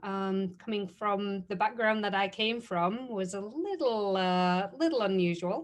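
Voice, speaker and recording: A fairly slow woman's voice with a British accent, medium in pitch with ordinary variation, over a quiet background. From UK. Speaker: chemist and STEAM mentor. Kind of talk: panel discussion.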